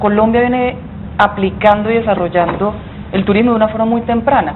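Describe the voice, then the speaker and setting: A woman talks at a fairly quick pace in a fairly high voice, with fairly even intonation and very even loudness. Noticeable background noise is present. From Colombian Caribbean coast, Santa Marta. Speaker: business association executive, former minister. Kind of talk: TV interview.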